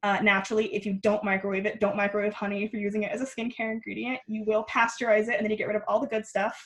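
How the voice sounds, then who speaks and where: Very fast and flat in intonation, a woman speaks in a fairly high, somewhat breathy voice. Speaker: skincare workshop guest teacher. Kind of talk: online workshop tutorial.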